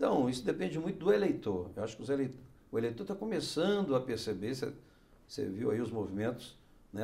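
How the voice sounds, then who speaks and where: The voice has a dark, mellow tone, somewhat breathy, moving at a fairly quick pace with very wide pitch swings. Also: man. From Brasília, raised there from age 13 (born Minas Gerais). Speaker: senator. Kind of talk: interview. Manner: halting, frequent fillers and repetitions. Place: studio. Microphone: lapel.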